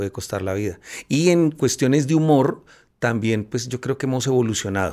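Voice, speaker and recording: The clip captures a man on a very clean recording with a silent background. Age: 50s. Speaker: cartoonist. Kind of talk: casual chat. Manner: halting.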